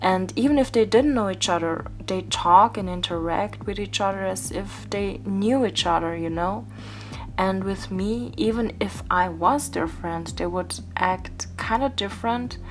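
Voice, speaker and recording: A woman with a German accent at a fairly slow pace, audible room echo and music in the background. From Austria. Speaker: YouTuber and doll-face artist. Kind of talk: casual vlog monologue while crafting. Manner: casual, rambling.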